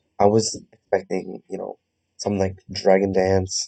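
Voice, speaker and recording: A quiet man's voice, fairly low and dark, mellow in tone, at a moderate pace, in a dry, close sound with no echo. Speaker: gaming youtuber. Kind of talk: gameplay commentary. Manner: hesitant, many fillers. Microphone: recording sounds quiet.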